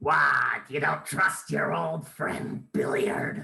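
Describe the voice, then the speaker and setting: A put-on character voice comes through raspy and at a very slow pace. There is a slight echo. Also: man, fairly high pitch for a man. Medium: stage play. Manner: sly, wheedling.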